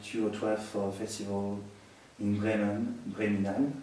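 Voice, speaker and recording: A man with a French accent speaks fairly slowly in a fairly low, monotone voice with flat intonation. Noticeable background noise and audible room echo surround him. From France. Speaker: musician. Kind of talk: interview. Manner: halting.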